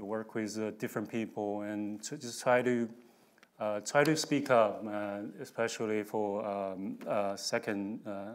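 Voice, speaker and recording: A man talks at a fairly slow pace. His pitch is medium and his intonation fairly even. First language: not English. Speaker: risk modeling director, panelist. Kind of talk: panel discussion. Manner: halting, many fillers and repetitions.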